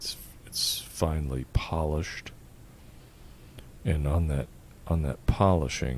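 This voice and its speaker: A soft-spoken man talks at a very slow pace with a very deep, low pitch. His tone is calm. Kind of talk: ASMR roleplay, calm-spoken. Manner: calm, soft-spoken.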